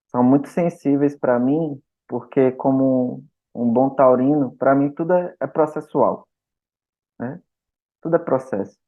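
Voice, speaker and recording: Long, frequent pauses fill this man's very slow speech. His pitch is medium, with fairly even intonation. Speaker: men's therapy group facilitator. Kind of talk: podcast interview.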